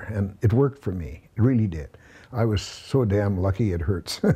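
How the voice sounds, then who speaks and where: A man's fairly low, dark, mellow, somewhat breathy voice with a Canadian prairie accent, moderate pace and ordinary pitch variation. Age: 70s. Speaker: milk hauler, truck driver. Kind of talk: interview answer.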